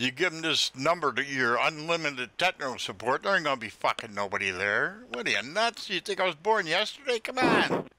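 A man speaks in a bright, sharp tone with lively intonation. He sounds angry. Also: dry, close sound with no echo. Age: 70s. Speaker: scam baiter. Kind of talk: prank call confrontation. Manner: angry, confrontational.

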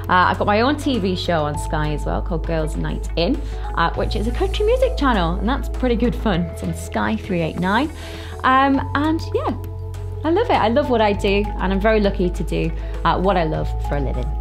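A woman with a northern English accent talks at a fairly quick pace over clear music in the background. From Cumbria, northern England. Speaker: TV presenter. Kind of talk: casual talk to camera. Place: studio.

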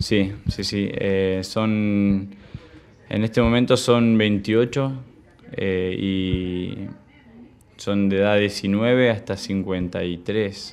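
A man's fairly low, monotone voice with flat intonation, a very slow pace and long, frequent pauses. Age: 20s. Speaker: recovering addict. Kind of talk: testimony. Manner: halting, many repetitions and fillers. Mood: calm, reflective. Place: home room.

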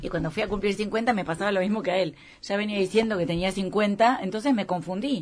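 A woman speaks fairly quickly, her pitch varying in an ordinary way. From Argentina. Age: 50s. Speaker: restaurant owner; interview guest. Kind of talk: casual interview. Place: studio.

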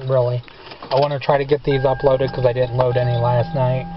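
The speech runs at a very fast pace with a dry sound and no echo. Noticeable background noise is present. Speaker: home vlogger. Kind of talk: casual vlog chat. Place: car.

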